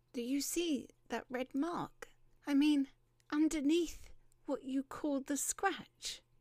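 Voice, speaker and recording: Putting on a character voice, a woman speaks at a high pitch that sounds shaky, going at a fairly slow pace with long, frequent pauses and ordinary pitch variation, all in a dry, close sound with no echo. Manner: shaking, trembling.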